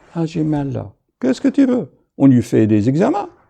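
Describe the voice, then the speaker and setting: Over a quiet background, a man with a dark, mellow tone and fairly high pitch speaks at a fairly slow pace, his pitch swinging very widely. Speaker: doctor. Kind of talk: video monologue.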